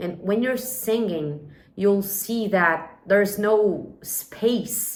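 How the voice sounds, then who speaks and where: Very slowly, a woman speaks at a medium pitch with ordinary pitch variation. Noticeable background noise is present. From Brazil. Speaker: English teacher. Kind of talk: personal story and language tips. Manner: clear and measured for listening practice.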